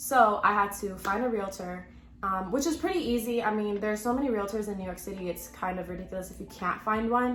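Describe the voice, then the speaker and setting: A woman with an American accent talks at a very fast pace in an animated tone, at medium pitch with ordinary pitch variation. Noticeable background noise and audible room echo fill the recording. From Texas (Houston). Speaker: pharmacy student and vlogger. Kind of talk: casual vlog talk to camera. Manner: chatty, animated.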